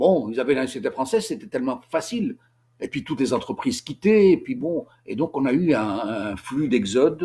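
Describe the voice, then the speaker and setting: Speaking with a Tunisian accent, a man has a fairly high pitch and a dark, mellow tone. His pitch swings very widely, and his pace is fairly quick. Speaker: author and commentator on history. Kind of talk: informal lecture. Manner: halting, many repetitions and hesitations.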